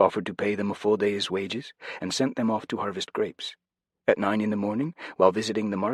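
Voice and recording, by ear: Reading aloud in a natural voice, ordinary pitch variation, quiet background.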